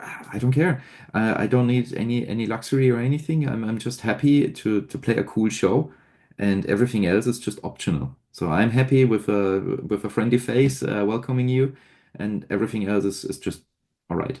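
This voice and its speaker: Over a quiet background, a man with a German accent speaks at a moderate pace in a medium pitch, his tone dark and mellow, with ordinary pitch variation. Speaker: metal band frontman. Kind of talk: interview.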